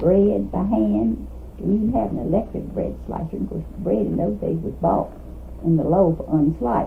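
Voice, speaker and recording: Speaking at a moderate pace, a woman talks in a Kentucky accent. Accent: Southern US (Kentucky). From US South, Kentucky (Trigg County). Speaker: retired teacher. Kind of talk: oral history interview.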